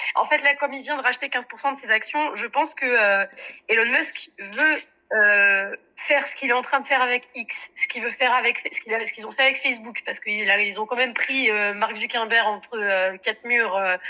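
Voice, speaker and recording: Ordinary pitch variation at a fairly quick pace. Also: woman, high pitch for a woman. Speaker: political commentator on a livestream. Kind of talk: casual live discussion. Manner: halting, stuttering.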